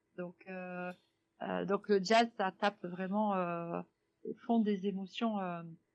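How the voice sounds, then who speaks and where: Recorded with a dry, close sound and no echo, a woman speaks at a medium pitch with fairly even intonation. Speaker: jazz singer. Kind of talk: radio interview. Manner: hesitant, many fillers.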